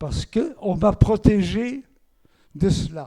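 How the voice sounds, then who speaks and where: With a Flemish accent, a man speaks in a dark, mellow tone with lively intonation. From Belgium, Antwerp (Flemish-speaking). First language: Flemish (speaking French). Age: 90s. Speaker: Holocaust survivor. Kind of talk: testimony.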